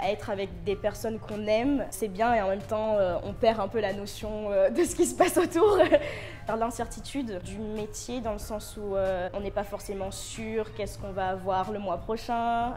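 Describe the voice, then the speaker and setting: A woman talks at a moderate pace in a medium pitch with ordinary pitch variation. Music plays in the background. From Réunion. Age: 20s. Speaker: contemporary dancer, student. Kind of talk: interview answer. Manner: hesitant.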